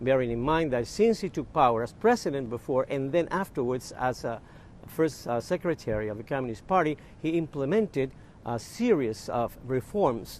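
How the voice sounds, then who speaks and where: With an ordinary speaking voice, a man talks at a moderate pace in a fairly high pitch, his intonation lively. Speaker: news correspondent. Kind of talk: live news interview answer. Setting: remote link from Havana.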